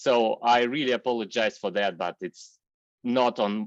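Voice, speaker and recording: In a dry, close sound with no echo, a man with a non-native accent speaks at medium pitch and a moderate pace with ordinary pitch variation. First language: not English. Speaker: software engineer and workshop speaker. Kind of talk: online technical workshop. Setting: video call. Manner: halting, many fillers.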